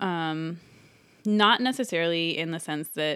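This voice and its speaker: The speaker is a woman with an American accent and a fairly low pitch. The recording is very clean, with a silent background. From US West Coast, San Francisco East Bay. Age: 30s. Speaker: mother sharing personal story. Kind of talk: personal testimony.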